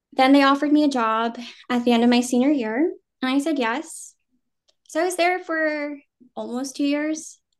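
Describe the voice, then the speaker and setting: A woman's high-pitched voice at a moderate pace, with ordinary pitch variation and long, frequent pauses, over a quiet background. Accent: General American. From New Jersey, US Northeast. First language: Vietnamese. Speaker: actor. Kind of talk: casual interview.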